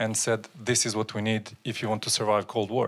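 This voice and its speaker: A man with a non-native accent talks at a fairly quick pace and fairly low pitch. The recording is very clean with a silent background. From Soviet Union / China. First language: not English. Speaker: audience member. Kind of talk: audience question.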